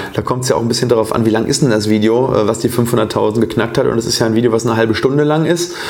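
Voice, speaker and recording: A man talks at a very fast pace with hardly any pauses. Noticeable background noise is present. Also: medium pitch for a man, fairly even intonation, very even loudness. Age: 30s. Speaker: dentist and oral surgeon, podcast host. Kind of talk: casual interview conversation. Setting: living room with cameras.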